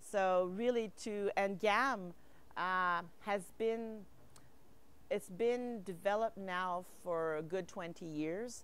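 At a very slow pace, a woman with a Quebec French accent speaks with ordinary pitch variation. The sound is dry, without echo. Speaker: mental health activist and researcher. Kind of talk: interview. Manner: halting. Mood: earnest, reflective. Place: garden.

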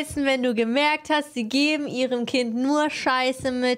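A woman speaks against a quiet background. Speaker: livestreamer. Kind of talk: casual stream chat answering chat. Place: home room. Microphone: studio mic.

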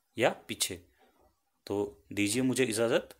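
This man speaks at a medium pitch with ordinary pitch variation. The recording is very clean, with a silent background. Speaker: YouTube English vocabulary teacher. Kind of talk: tutorial. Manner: slow, spelling words letter by letter.

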